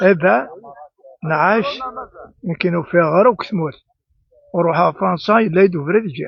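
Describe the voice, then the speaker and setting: The speaker is a man with a high pitch. He uses lively intonation. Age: 70s. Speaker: farmer. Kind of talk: interview.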